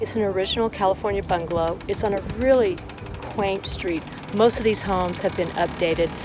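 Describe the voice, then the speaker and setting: With an American accent, a woman speaks at a medium pitch and a fairly quick pace, her intonation fairly even, over noticeable background noise. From Los Angeles. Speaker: real estate vlogger. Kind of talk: vlog tour narration. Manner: fast.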